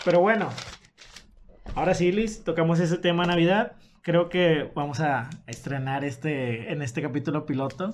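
A man with an ordinary speaking voice, a fairly high pitch, ordinary pitch variation and a moderate pace. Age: 20s. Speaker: podcast co-host. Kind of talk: casual chat.

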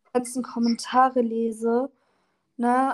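The woman's quiet voice is high-pitched and monotone, flat in intonation, with a dry, close sound and no echo. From northern Germany, Oldenburg (Lower Saxony). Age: 20s. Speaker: social media creator. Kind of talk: casual interview. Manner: varies between very quiet and loud.

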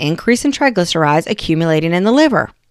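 On a very clean recording with a silent background, a woman with an Appalachian accent swings her pitch very widely. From West Virginia. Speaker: nurse practitioner, podcast host. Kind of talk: educational podcast monologue. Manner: casual, conversational.

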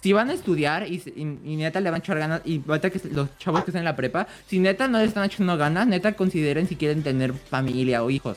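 A man with a Mexican accent talks at a very fast pace with hardly any pauses. His voice is high, with lively intonation. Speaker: podcast co-host. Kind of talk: casual chat. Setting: live stream.

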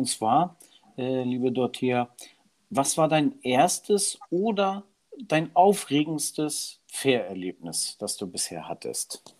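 A man speaks at a very slow pace in a fairly high pitch. His pitch swings very widely. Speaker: podcast co-host. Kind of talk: casual chat. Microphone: new microphone, home-made studio.

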